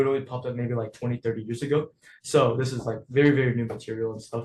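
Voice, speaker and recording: Somewhat breathy and at medium pitch, a man speaks very fast with fairly even intonation. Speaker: coding class teacher. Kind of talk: online lecture.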